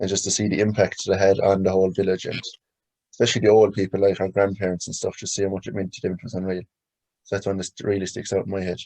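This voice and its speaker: Against a quiet background, a man with a Limerick accent talks at a very fast pace in a fairly low, dark, mellow voice with monotone, flat intonation. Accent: Irish, Limerick. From Ireland, County Limerick. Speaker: hurler. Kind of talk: interview.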